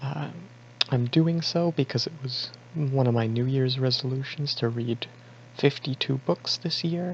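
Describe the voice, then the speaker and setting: Pitched at a medium level, a man talks with ordinary variation in pitch. There is a somewhat breathy quality to his voice. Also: fairly slow pace. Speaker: book reviewer. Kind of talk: casual talk to camera. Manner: hesitant, rambling.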